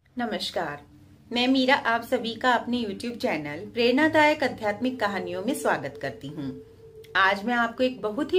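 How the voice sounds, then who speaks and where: A woman at a fairly slow pace with very wide pitch swings, over noticeable background noise. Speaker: storyteller on own channel. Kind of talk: storytelling narration. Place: home room. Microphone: phone near.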